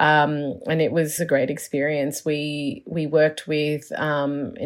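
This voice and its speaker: With an Australian accent, a woman speaks at a fairly slow pace and a very deep, low pitch. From Melbourne, Australia. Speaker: urban planner. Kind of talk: interview. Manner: halting, many fillers.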